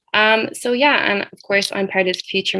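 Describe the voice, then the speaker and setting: A woman with an Irish accent talks very fast, her pitch rising and falling in an ordinary way. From Ireland. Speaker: student social entrepreneur. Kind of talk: panel discussion.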